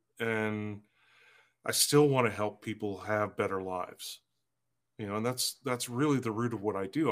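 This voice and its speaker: A man talks in an ordinary speaking voice at a fairly low pitch with ordinary pitch variation. He keeps a moderate pace on a very clean recording with a silent background. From northern British Columbia, Canada. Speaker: trust consultant and author. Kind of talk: interview.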